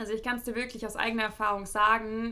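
This woman has a fairly high pitch. Her tone is bright and sharp. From Germany. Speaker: podcast host. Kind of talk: solo podcast monologue, advice. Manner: casual, many filler sounds.

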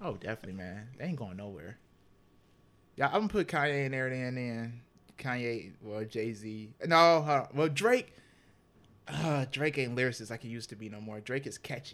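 A man with a normal speaking voice and an American accent talks at a medium pitch and moderate pace, with lively intonation and big swings in loudness. The recording is very clean, with a silent background. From Cleveland, Ohio. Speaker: podcast host. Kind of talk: casual chat.

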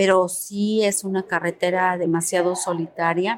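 A woman speaks at a fairly slow pace and a medium pitch. Her intonation is monotone and flat. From Puebla, Mexico. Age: 40s. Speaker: activist mother of a disappeared son. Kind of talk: testimony.

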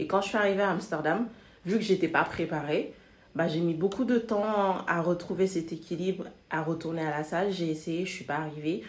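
A woman with an unremarkable speaking voice talks at a moderate pace and a fairly low pitch, with ordinary pitch variation. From Senegal. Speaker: expat guest. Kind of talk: casual chat.

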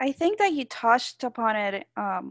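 In a Spanish accent, a woman speaks fairly slowly at a fairly high pitch, with a dry, close sound with no echo and a quiet background. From Puerto Rico. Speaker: podcast host. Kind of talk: interview.

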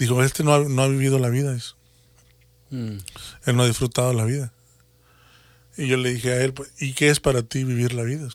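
This man talks at a medium pitch in a monotone, flat intonation. He leaves long, frequent pauses. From Mexico, Matamoros, Tamaulipas. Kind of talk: religious talk show chat.

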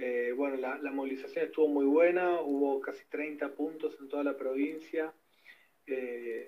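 This man has an ordinary speaking voice with a fairly high pitch. He talks at a fairly slow pace with fairly even intonation. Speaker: environmental activist. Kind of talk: testimony.

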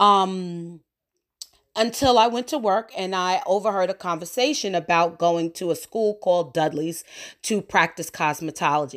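In a plain, everyday voice, a woman with an American accent speaks at medium pitch and a moderate pace, with ordinary pitch variation, on a very clean recording with a silent background. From New York. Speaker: podcast host and cosmetology educator. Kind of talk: casual monologue.

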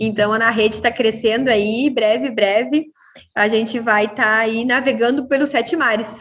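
Speaking at a moderate pace, a woman has a normal speaking voice, fairly high in pitch, with fairly even intonation. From southern Brazil, Rio Grande do Sul (Uruguaiana). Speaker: pizzeria franchise founder. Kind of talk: interview.

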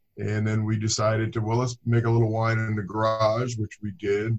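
Monotone and flat, a somewhat breathy man with an American accent talks at a fairly quick pace. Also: quiet background. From Southern California (Inglewood). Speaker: winemaker. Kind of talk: casual interview.

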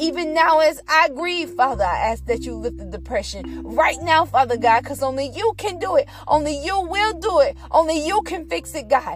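With music in the background, a woman talks at a moderate pace in an animated, playful tone, with hardly any pauses. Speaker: podcaster. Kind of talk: fervent prayer. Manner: pleading, earnest, repeating 'God' rhythmically; animated, sassy, playful.

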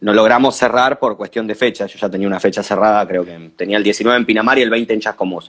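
A man talks with an Argentine accent. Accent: Rioplatense Argentine Spanish. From Argentina, Buenos Aires province. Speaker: DJ and music producer. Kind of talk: casual chat. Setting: video call.

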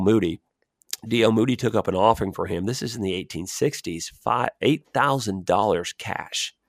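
On a very clean recording with a silent background, a man with an American accent uses a normal speaking voice, fairly low in pitch, at a moderate pace with ordinary pitch variation and a dry, close sound with no echo. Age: 40s. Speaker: missionary, pastor. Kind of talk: interview conversation. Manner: repetitive, stumbling starts.

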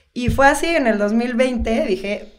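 Noticeable background noise and audible room echo accompany a woman's voice. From central Mexico, Toluca. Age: 40s. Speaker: social designer and photographer. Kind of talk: casual interview chat.

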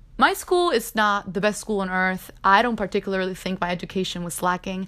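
A woman with a Spanish accent speaks at a fairly quick pace in an animated tone and medium pitch. The recording is very clean, with a silent background. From Cuba. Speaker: podcast host. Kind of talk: personal monologue.

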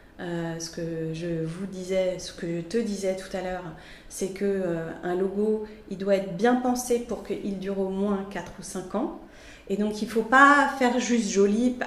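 Amid audible room echo and noticeable background noise, a woman speaks fairly slowly at medium pitch with ordinary pitch variation. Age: 40s. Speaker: graphic designer and art director. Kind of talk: interview. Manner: animated; halting.

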